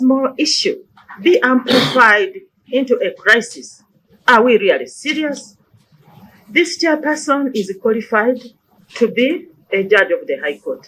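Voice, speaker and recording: Her high voice swinging very widely in pitch, a woman talks with long, frequent pauses. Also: fairly slow pace. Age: 60s. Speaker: human rights commission chairperson testifying before parliament. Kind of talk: parliamentary committee testimony. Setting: parliamentary committee hearing. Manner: formal.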